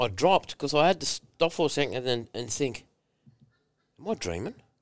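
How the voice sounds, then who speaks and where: An Australian accent from a man at a moderate pace with very wide pitch swings, on a very clean recording with a silent background. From rural New South Wales, Australia. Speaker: former rugby league player. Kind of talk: casual interview chat. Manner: animated.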